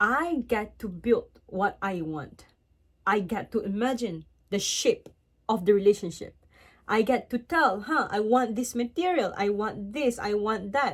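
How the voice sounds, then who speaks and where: The very clean recording with a silent background captures a woman with a fairly high pitch and lively intonation at a fairly slow pace. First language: not English. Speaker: vlogger giving relationship advice. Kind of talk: casual advice monologue, partly read from laptop. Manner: hesitant, self-correcting.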